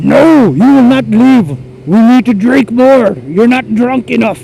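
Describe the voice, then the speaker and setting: Clear music plays behind a man using a put-on character voice. He pitches it extremely high and speaks at a fairly slow pace. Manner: insistent, demanding.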